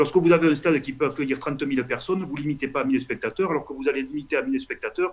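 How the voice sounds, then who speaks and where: A fairly high-pitched man with a Toulouse accent at a very fast pace with ordinary pitch variation. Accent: southern French, Toulouse. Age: 50s. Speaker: politician, member of parliament. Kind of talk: interview answer.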